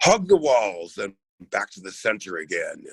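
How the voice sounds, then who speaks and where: Raspy, theatrical put-on character voice from a man, medium in pitch, with very wide pitch swings at a moderate pace. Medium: stage play. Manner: imperious, theatrical.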